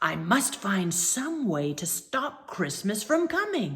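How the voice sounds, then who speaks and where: A woman puts on a character voice at a medium pitch, growling with very wide pitch swings. She talks at a fairly slow pace. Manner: growling, scheming.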